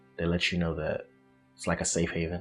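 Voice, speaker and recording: A man talks. Music plays in the background. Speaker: college student. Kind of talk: interview answer. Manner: casual.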